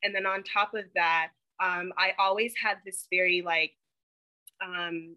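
Speaking at a fairly slow pace, a woman has an unremarkable speaking voice with medium pitch and fairly even intonation. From North Carolina (Charlotte), moved from Ghana at six. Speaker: dental student. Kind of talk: interview.

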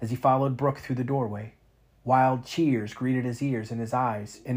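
A natural voice reads the text. The intonation remains fairly even.

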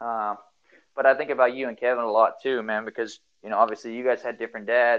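A man with an American accent talks very fast. His intonation is monotone and flat. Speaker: podcast host. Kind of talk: casual chat.

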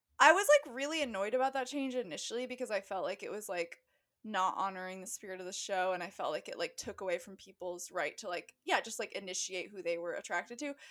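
Speaking very fast with hardly any pauses, a woman with a West Coast US accent uses lively intonation at medium pitch, her loudness swinging widely. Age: 20s. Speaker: podcast co-host. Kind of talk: casual chat.

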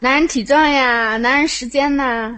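A woman with a high pitch talks at a fairly slow pace. Her intonation is fairly even. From Hefei, Anhui, China. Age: 20s. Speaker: caller. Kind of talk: casual chat. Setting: online voice chat room. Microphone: phone held too close to microphone.

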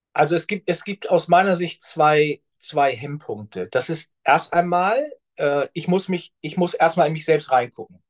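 A man speaks at a high pitch with ordinary pitch variation, fairly slowly and with hardly any pauses. The sound is dry and close, with no echo. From northern Germany. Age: 50s. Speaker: pension insurance specialist. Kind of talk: interview conversation.

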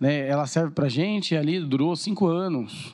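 An unremarkable speaking voice moves at a moderate pace with lively intonation. The background is quiet. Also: man. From Brazil, Suzano (São Paulo state). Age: 30s. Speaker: TV presenter and marketing businessman. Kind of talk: casual chat.

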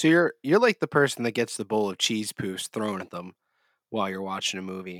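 A man's voice with big swings in loudness and a fairly quick pace, dry and close with no echo, on a very clean recording with a silent background. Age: 30s. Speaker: gaming podcast host. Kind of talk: casual chat. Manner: halting.

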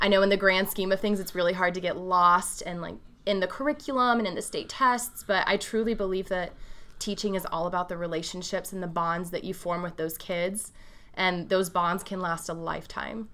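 With a Midwestern American accent, a woman talks at a fairly quick pace in a bright, sharp tone, at a medium pitch with fairly even intonation. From rural Ohio, US Midwest. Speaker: high school English teacher. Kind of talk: interview.

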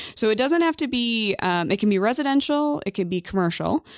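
A woman talks at a fairly quick pace with very wide pitch swings, in a very clean recording with a silent background and a dry, close sound with no echo. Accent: American. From US Midwest, north central Illinois. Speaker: nonprofit associate director. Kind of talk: casual interview.

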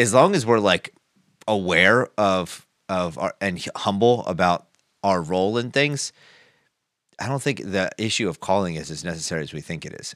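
On a very clean recording with a silent background and a dry, close sound with no echo, a man talks in an ordinary speaking voice at a fairly low pitch and a moderate pace, his loudness swinging widely. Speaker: podcast host. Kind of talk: casual chat.

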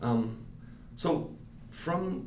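Audible room echo surrounds a man's voice. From Mexico City. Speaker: digital strategy director. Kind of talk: interview. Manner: halting.

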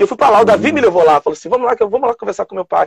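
Lively, high-pitched male speech with a dry, close sound and no echo. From São Gonçalo, Rio de Janeiro state, Brazil. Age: 50s. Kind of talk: casual chat. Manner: halting.

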